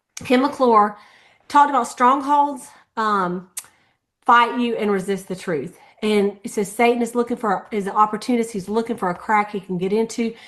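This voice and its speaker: A woman with a normal speaking voice talks fairly high in pitch, with ordinary pitch variation and a moderate pace. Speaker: sales team leader. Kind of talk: team meeting recap.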